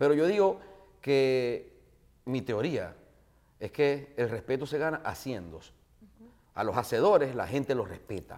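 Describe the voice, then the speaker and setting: Talking at a fairly slow pace with long, frequent pauses, a man of medium pitch uses lively intonation and big swings in loudness. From Venezuela, Maracaibo. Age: 40s. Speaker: radio host and comedian. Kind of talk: casual interview chat. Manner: animated.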